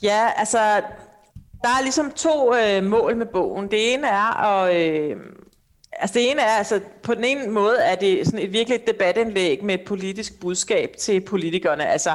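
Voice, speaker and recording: Lively intonation runs through a woman's medium-pitched voice. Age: 40s. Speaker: author and family policy debater. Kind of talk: interview. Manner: hesitant, many filler sounds.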